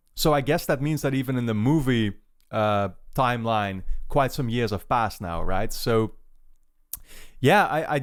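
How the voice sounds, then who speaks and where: A man with a Dutch accent talks at a moderate pace and medium pitch. The recording is very clean, with a silent background. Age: 20s. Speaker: YouTube movie reactor. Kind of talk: casual talk to camera before a reaction. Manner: hesitant, many fillers.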